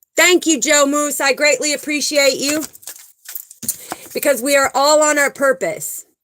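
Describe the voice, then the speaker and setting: A woman with a high pitch and ordinary pitch variation speaks at a fairly slow pace, leaving long, frequent pauses. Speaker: spiritual livestream host. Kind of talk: live stream chat with viewers. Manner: animated.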